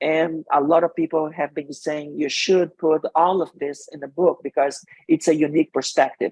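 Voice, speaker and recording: A man with a Brazilian accent speaks at a moderate pace in a fairly high pitch, with monotone, flat intonation and hardly any pauses. His loudness swings widely, and the sound is dry and close with no echo. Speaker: marketing executive and author. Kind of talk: interview.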